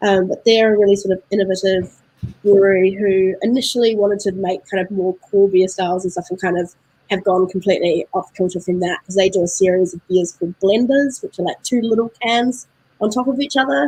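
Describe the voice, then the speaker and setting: A woman talks at a fairly quick pace in a medium pitch. Her tone is dark and mellow, with ordinary pitch variation. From New Zealand. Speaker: beer importer representative. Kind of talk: casual interview chat. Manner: hesitant, many fillers.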